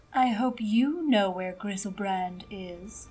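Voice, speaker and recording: In a put-on character voice, a female-sounding speaker talks at a fairly slow pace with a medium pitch. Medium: audio drama. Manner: haughty, mocking.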